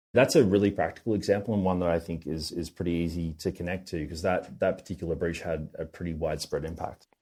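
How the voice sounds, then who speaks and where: Talking at a very fast pace with hardly any pauses, a man with an Australian accent has a very deep, low pitch, a dark, mellow tone and fairly even intonation, on a very clean recording with a silent background. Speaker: tech company founder. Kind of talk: podcast interview.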